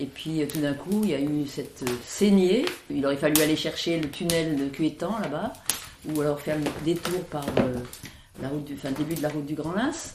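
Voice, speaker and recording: A woman's very deep, low voice at a moderate pace, with audible room echo and noticeable background noise. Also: ordinary pitch variation. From France, Isère. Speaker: villager recalling childhood. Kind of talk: oral history interview.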